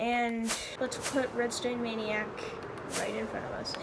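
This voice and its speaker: A woman speaks at a fairly slow pace with a high pitch. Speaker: gaming youtuber. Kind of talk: gameplay commentary. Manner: halting.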